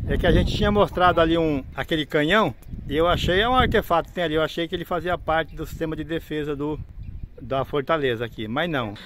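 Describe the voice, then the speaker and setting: This is a man with a high voice. He talks at a fairly quick pace. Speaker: travel vlogger living in a motorhome. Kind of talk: travel vlog tour narration. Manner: casual with frequent hesitations.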